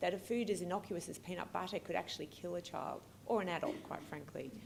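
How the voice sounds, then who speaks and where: A woman with an Australian accent, very fast and lively in intonation, with audible room echo. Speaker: pediatric allergist and researcher. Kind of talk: keynote lecture. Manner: hesitant, many fillers.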